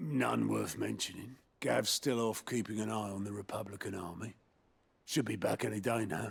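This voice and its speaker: A man speaks in a put-on character voice at a moderate pace, raspy and fairly low in pitch. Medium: video game. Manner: plainspoken.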